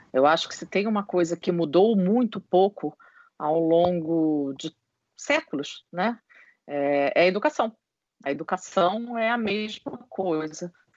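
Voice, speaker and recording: At a very slow pace, a woman speaks in a fairly low pitch with lively intonation. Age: 50s. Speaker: HR consultant and psychologist. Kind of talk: interview.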